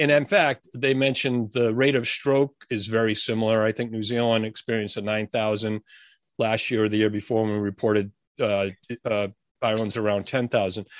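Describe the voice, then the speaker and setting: Over a quiet background, a man with a normal speaking voice talks at a medium pitch and fairly quick pace with fairly even intonation. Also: dry, close sound with no echo. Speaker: podcast co-host. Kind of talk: casual podcast conversation.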